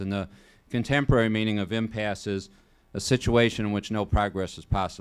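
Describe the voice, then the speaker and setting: Here is a man with a Chicago accent. He speaks at a moderate pace with a fairly low pitch. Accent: Chicago-area Midwestern US. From Illinois, Joliet. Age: 60s. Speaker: state senator. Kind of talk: public talk. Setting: college event with student audience. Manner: conversational, with some stumbles.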